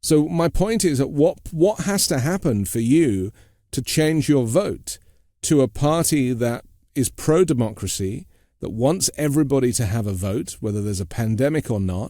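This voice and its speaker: Over a very clean recording with a silent background, a man with a British accent speaks at a moderate pace and medium pitch, his dark, mellow tone swinging very widely in pitch. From Britain. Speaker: podcast host. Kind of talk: interview.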